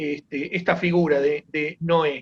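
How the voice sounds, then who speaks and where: A man speaking at a very slow pace. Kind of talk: informal teaching talk. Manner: halting, many fillers.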